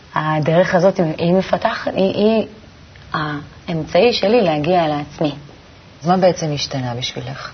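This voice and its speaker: Amid noticeable background noise, a woman talks at a fairly slow pace in a fairly low pitch with ordinary pitch variation. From Tel Aviv, Israel. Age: 20s. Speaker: shop saleswoman, kabbalah student. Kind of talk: interview.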